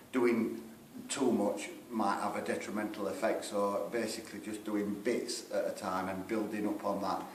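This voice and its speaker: A man speaks at a moderate pace with a Sheffield accent. Noticeable background noise and audible room echo surround his voice. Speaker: rockabilly band singer. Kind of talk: band interview.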